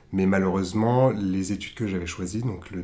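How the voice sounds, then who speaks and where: Pitched fairly low, a man talks at a moderate pace with fairly even intonation. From southern France. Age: 20s. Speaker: art director. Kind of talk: interview. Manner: hesitant.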